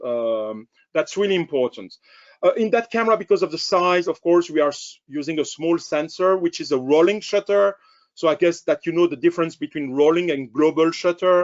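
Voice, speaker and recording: This man has a high voice and speaks with a French accent. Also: ordinary pitch variation, fairly quick pace. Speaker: camera company sales director. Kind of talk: webinar product presentation. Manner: halting, many fillers.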